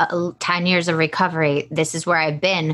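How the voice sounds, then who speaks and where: A woman with an American accent speaks in a normal speaking voice, fairly low in pitch, at a moderate pace. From US South. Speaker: podcast host. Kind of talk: casual chat.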